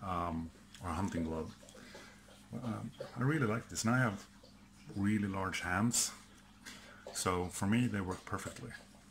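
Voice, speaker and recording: With a Swedish accent, a man talks at a fairly slow pace in a fairly low pitch, with ordinary pitch variation and long, frequent pauses. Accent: Swedish accent, mispronounces some words. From Sweden. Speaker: outdoor gear and prepping youtuber. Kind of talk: product test video. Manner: casual, hesitant with fillers.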